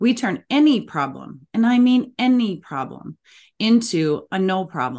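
The speaker has an Upper Midwest accent and talks at a fairly slow pace. The pitch swings very widely against a quiet background. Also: woman. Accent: Upper Midwest American. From Minnesota, US Midwest. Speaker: parenting coach. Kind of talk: interview.

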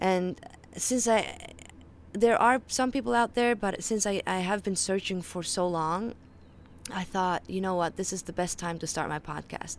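A woman with a Faroese accent, moderate pace, and ordinary pitch variation. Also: medium pitch for a woman. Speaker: podcast host, health and mindset educator. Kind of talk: solo monologue podcast. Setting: outdoors on a balcony.

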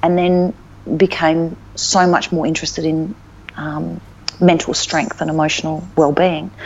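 A woman with an Australian accent speaks at a fairly low pitch and a fairly slow pace. Her intonation is fairly even, and there is noticeable background noise. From Northern Territory, Australia (Alice Springs). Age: 50s. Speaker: life coach. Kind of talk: casual interview chat.

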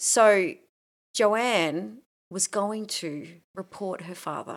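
An animated woman's voice with an Australian accent, medium pitch and lively intonation, in a very clean recording with a silent background. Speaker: podcast co-host. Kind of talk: casual chat. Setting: home recording.

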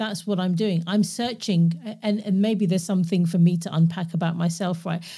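Speaking at a fairly quick pace, a woman with a medium pitch sounds somewhat breathy and keeps her intonation fairly even. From London, England. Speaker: podcast host and coach. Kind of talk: casual interview chat. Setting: remote call.

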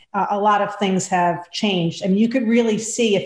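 A woman at a medium pitch, with noticeable background noise. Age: 50s. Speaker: dietitian and health coach. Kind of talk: interview.

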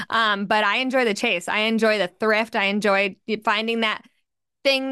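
A bright, sharp tone with an American accent and fairly even intonation, over a quiet background. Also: woman. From New York City. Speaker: personal finance podcast host. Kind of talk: podcast interview.

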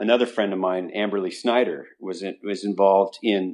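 A man with an American accent, fairly low pitch, moderate pace, a plain, everyday voice and fairly even intonation. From Utah. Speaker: business owner and horseman. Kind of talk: interview.

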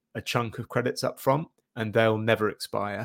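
A man speaks with an East Anglian accent. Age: 40s. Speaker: SEO agency director. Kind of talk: interview.

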